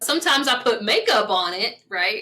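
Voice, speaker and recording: Bright and sharp in tone, a woman with a slight West Virginia accent speaks in a high voice. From US South, small-town southern West Virginia. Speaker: spiritual coach. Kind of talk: casual talk to camera. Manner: conversational.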